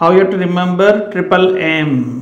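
Audible room echo surrounds a voice with fairly even intonation at a fairly slow pace. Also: man. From India. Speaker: biology teacher. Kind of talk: lecture. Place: classroom. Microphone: lapel.

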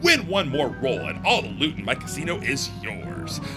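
A booming, put-on character voice moves at a moderate pace while loud music plays in the background. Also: man, medium pitch for a man. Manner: booming, with a toothy grin.

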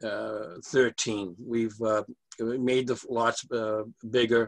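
At a very slow pace, a man talks with an American accent and fairly even intonation over a quiet background. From Massachusetts. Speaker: civil engineer presenting subdivision plans. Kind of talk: public meeting presentation. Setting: video call. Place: office. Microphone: video call.

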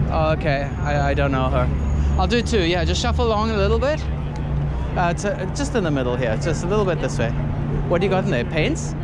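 A man talks at a very fast pace. Crowd noise fills the background, and the sound is dry with no echo. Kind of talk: casual conversation and posing directions. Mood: friendly, upbeat. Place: street. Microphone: phone near.

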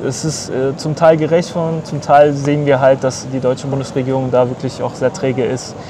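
A man speaks amid noticeable background noise. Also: dry sound with no echo. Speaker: brother of detained journalist. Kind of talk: interview answer. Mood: earnest, somewhat indignant. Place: street.

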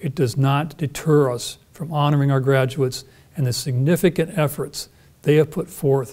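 This man's voice has a dark, mellow tone and sounds somewhat breathy. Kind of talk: formal ceremonial address. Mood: formal, warm. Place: stage. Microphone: lapel.

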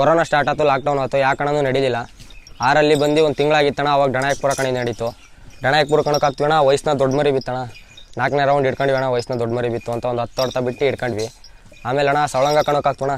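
The man speaks at a fairly high pitch with flat, monotone intonation. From Karnataka village. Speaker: ram owner and fighting sheep keeper. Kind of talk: casual interview.

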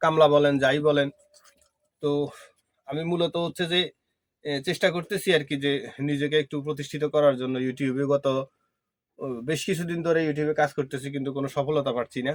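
Here is a man with an unremarkable speaking voice. His pitch is fairly high and his intonation fairly even. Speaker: farmer and village vlogger. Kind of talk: casual vlog talk to camera.

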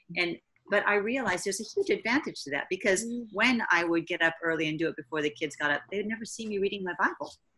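A woman's bright, sharp voice at a very fast pace, with ordinary pitch variation. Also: quiet background. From United States. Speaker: missionary and mother; interview guest. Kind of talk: casual interview. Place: home room. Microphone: webcam.

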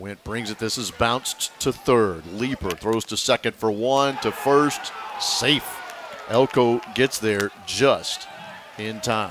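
A man of medium pitch speaks at a very slow pace with ordinary pitch variation. Noticeable background noise can be heard. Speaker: play-by-play announcer. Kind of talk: live baseball play-by-play, clipped highlight calls of each pitch and play. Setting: broadcast booth at the ballpark. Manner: steady, matter-of-fact narration between plays.

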